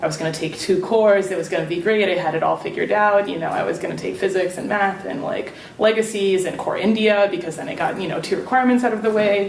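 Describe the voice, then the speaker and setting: With a New Jersey accent, a woman talks very fast with hardly any pauses, amid noticeable background noise and audible room echo. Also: medium pitch for a woman, ordinary pitch variation. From Serbia. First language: Serbian. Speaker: alumni panelist. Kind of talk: panel talk.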